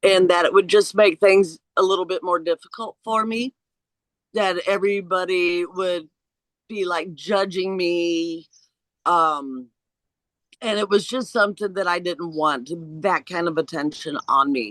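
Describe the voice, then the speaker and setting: A woman speaks at a fairly slow pace with a US Midwestern accent. Her pitch sits fairly low, and the sound is dry and close with no echo. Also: ordinary pitch variation. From Indiana, US Midwest. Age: 60s. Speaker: interviewee sharing pre-life memories. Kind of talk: personal testimony in interview.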